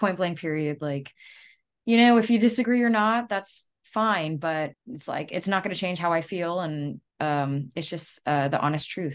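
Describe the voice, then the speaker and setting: With an American accent and a plain, everyday voice, a woman speaks at a moderate pace with lively intonation and a fairly low pitch against a quiet background. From US South, Louisiana. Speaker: metal band vocalist. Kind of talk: casual interview chat.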